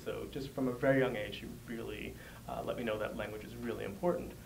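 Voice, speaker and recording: A man with an American accent is heard over noticeable background noise and audible room echo. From New York City. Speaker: language researcher. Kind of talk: interview.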